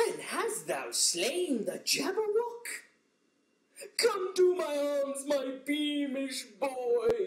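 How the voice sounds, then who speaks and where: A cartoonish character voice from a man, extremely high in pitch and very slow in pace. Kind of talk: poetry reading. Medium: puppet.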